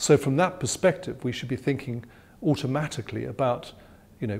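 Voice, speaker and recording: A somewhat breathy male voice. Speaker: interviewee. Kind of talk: interview answer. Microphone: lapel.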